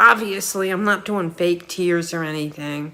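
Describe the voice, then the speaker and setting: A woman with a New York accent at a fairly slow pace, over noticeable background noise. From New York City (Queens, Ozone Park). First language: Ukrainian. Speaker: vlogger. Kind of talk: personal monologue. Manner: halting.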